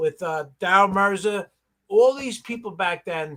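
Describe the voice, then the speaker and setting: A man with a bright, sharp tone projects a raised, high-pitched voice with ordinary pitch variation. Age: 60s. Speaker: pressure washing business owner. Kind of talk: casual chat.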